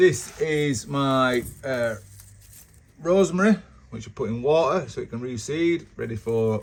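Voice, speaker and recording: This man speaks at a medium pitch with lively intonation. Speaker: home gardener vlogger. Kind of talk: casual walkthrough tour. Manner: fast.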